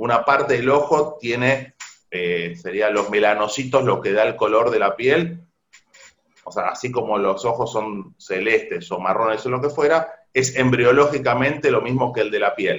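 A man has a normal speaking voice, ordinary pitch variation and a moderate pace. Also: medium pitch for a man. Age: 50s. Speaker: ophthalmologist. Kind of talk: interview. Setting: remote call.

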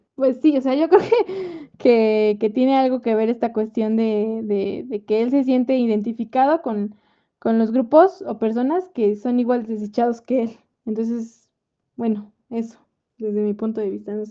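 Speaking at a fairly slow pace, a woman with a fairly high pitch uses ordinary pitch variation and a dark, mellow tone. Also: quiet background. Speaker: podcast host. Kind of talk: casual book discussion.

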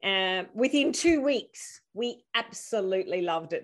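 A woman speaks with an Australian accent. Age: 50s. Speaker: youth education program founder. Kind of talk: interview conversation.

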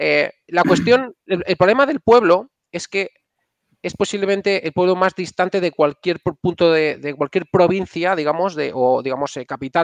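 A man speaks in a high pitch with a dry, close sound and no echo. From Spain, Castile and León. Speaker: software engineer and startup founder. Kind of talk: casual interview.

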